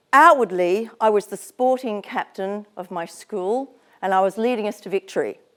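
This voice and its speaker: A woman with an Australian accent speaks at a moderate pace in a fairly high voice, her pitch varying in an ordinary way, with a dry, close sound and no echo. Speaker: psychologist and business founder, guest speaker. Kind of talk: motivational talk at an event.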